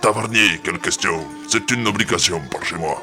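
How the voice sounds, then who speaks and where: Over clear music in the background, a man does a put-on character voice at a medium pitch and a moderate pace. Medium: audio drama. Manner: gruff.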